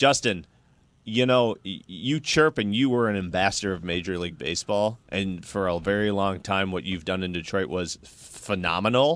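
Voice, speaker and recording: Using an ordinary speaking voice, a man speaks at a moderate pace, fairly low in pitch with lively intonation. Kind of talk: casual chat.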